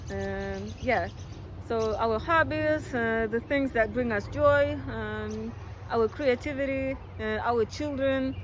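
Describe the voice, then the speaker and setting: Speaking very slowly, a woman talks with a non-native accent. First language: not English. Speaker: astrologer. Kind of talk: horoscope monologue. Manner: hesitant, many fillers; casual.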